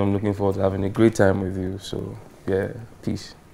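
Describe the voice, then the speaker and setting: Over noticeable background noise, a man with a fairly low voice talks at a very fast pace. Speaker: musician. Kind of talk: interview answer.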